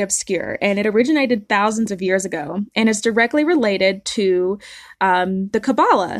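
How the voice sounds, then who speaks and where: A woman with a Southern US accent, medium in pitch, with ordinary pitch variation and a moderate pace. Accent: Southern American. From US South. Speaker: podcast host. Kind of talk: solo podcast monologue, partly read.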